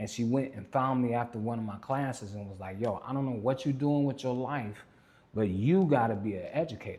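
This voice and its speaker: At a fairly quick pace, a man speaks at medium pitch with a dark, mellow tone and ordinary pitch variation. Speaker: life coach and educator. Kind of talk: podcast interview. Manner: loud; animated.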